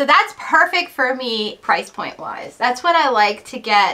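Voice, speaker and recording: A woman's fairly slow speech with very wide pitch swings. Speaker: vintage reseller. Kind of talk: casual vlog chat. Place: home room. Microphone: camera far.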